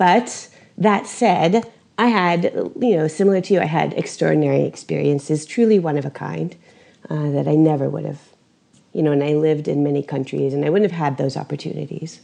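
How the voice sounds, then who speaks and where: A woman speaks with a very deep, low pitch, vocal fry and a dark, mellow tone. Her pace is fairly quick with ordinary pitch variation, against a quiet background. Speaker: podcast host. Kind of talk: interview.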